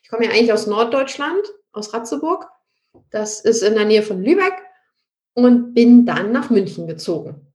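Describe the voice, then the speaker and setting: A woman's fairly high voice at a moderate pace, with very wide pitch swings, big shifts in loudness, and long, frequent pauses. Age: 30s. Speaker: real estate expert and investor. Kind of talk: interview.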